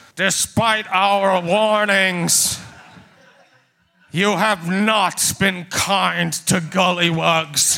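Putting on a character voice, a man speaks at a high pitch and a very slow pace, with long, frequent pauses. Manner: imposing, warning.

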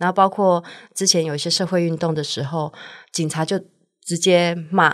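In a very clean recording with a silent background, a woman with a Taiwanese accent speaks at a moderate pace in a fairly low pitch, her intonation monotone and flat, with long, frequent pauses. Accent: Taiwanese Mandarin. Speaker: restaurant owner. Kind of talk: casual chat.

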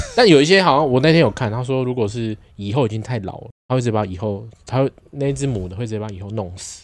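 Here a man talks at a very fast pace. His medium pitch shows ordinary variation. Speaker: podcast co-host. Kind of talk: casual chat.

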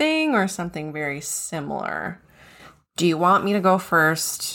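Her tone is bright and sharp as the woman speaks at a moderate pace. The recording is very clean, with a silent background. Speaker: podcast co-host. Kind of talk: casual chat.

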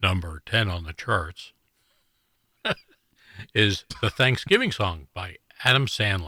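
Putting on a raspy character voice, a man speaks fairly slowly at a fairly low pitch with long, frequent pauses, in a very clean recording with a silent background. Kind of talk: broadcast, chart countdown announcer.

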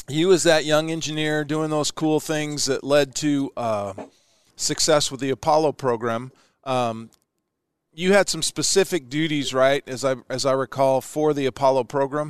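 A man with an American accent and an unremarkable speaking voice talks at a fairly high pitch and a moderate pace, using fairly even intonation, in a dry, close sound with no echo. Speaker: podcast host, former astronaut. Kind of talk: casual interview. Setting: broadcasting from his hometown.

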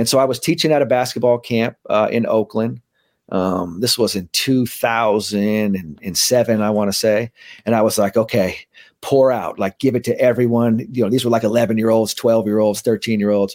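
In an American accent, a man talks at a moderate pace and medium pitch with fairly even intonation, a plain, everyday voice. The recording is very clean, with a silent background. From San Francisco, California (Bernal Heights). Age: 40s. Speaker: mental skills trainer for athletes. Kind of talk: casual interview chat; guided meditation.

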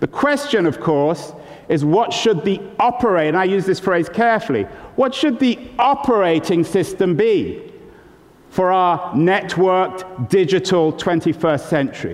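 Amid noticeable background noise, a man with a high pitch talks at a fairly slow pace with lively intonation and very even loudness. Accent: American. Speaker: author. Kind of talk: lecture. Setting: stage with audience. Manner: animated.

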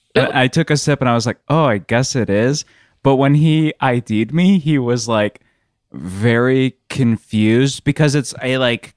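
With a plain, everyday voice, a man speaks at a moderate pace and a medium pitch with ordinary pitch variation, the sound dry and close with no echo. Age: 30s. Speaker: podcast producer. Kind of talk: casual chat. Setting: video call.

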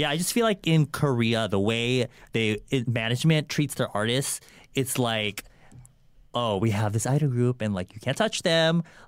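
In a very clean recording with a silent background, a man with a plain, everyday voice and an American accent speaks at medium pitch and a moderate pace, with ordinary pitch variation. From California. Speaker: YouTuber (K-beauty content creator). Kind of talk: casual chat.

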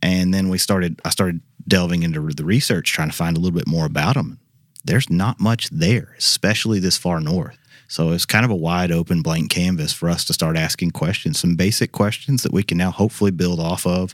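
With a Southern US accent, the speaker talks at a fairly quick pace with ordinary pitch variation on a very clean recording over a silent background. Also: man, very deep, low pitch for a man. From Arkansas. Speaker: professor. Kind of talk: interview. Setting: studio.

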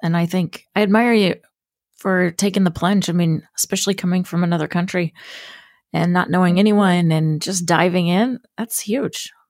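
In a very clean recording with a silent background and a dry, close sound with no echo, a woman uses an ordinary speaking voice at medium pitch, with ordinary pitch variation, very even loudness and a moderate pace. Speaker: podcast host. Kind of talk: interview intro and chat.

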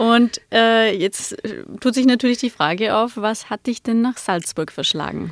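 Fairly high-pitched and fairly slow, a woman with an ordinary speaking voice shows ordinary pitch variation in a very clean recording with a silent background and a dry, close sound with no echo. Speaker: podcast host. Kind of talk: casual interview.

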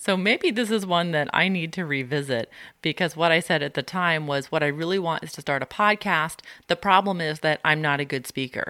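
On a very clean recording with a silent background, a woman speaks at a fairly quick pace and a fairly low pitch, her tone bright and sharp, the sound dry and close with no echo. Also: ordinary pitch variation. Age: 30s. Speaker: podcast host. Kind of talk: solo self-help podcast monologue.

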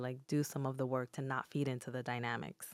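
Fairly quick speech from a woman with a Spanish accent and a very deep, low pitch, dry and close with no echo, in a very clean recording with a silent background. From Newark, New Jersey (Dominican-born). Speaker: psychologist. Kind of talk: interview. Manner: calm, soothing.

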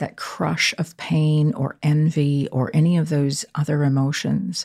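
Recorded very cleanly with a silent background, a woman speaks in a dark, mellow tone. Her voice is somewhat breathy. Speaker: podcast co-host. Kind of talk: casual chat.

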